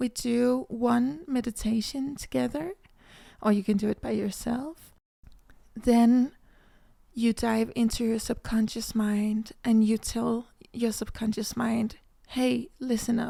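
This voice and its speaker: At a very slow pace, a woman with a Danish accent speaks fairly high, in a dark, mellow tone with fairly even intonation. The recording is very clean, the background silent. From Denmark. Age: 20s. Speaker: manifestation coach, podcast host. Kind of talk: casual podcast monologue.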